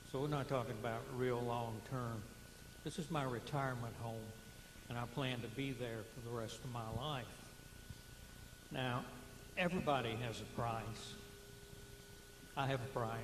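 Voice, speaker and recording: Amid audible room echo, a man of medium pitch speaks with fairly even intonation and long, frequent pauses. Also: moderate pace. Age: 60s. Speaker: retiree, public meeting speaker. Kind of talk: public comment. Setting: public meeting with microphone.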